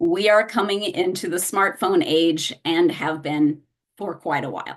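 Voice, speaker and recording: This woman has a medium pitch and ordinary pitch variation. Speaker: hearing loss services specialist. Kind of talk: presentation at a meeting. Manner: clear enunciation; measured, spaced words.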